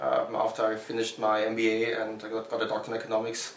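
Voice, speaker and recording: Audible room echo and noticeable background noise surround a man with a German accent at medium pitch. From Germany. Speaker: startup founder. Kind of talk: interview. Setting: Berlin. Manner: halting.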